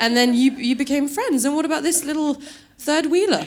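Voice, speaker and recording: Noticeable background noise beneath a woman's fairly quick speech. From UK, born in Norway. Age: 30s. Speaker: stand-up comedian. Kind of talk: stand-up. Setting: stage with audience. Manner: animated.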